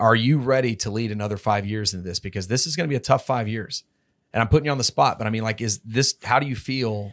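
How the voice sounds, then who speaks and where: Very fast and with an American accent, a man speaks with ordinary pitch variation on a very clean recording with a silent background. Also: medium pitch for a man. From Texas. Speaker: podcast host. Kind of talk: interview. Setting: studio.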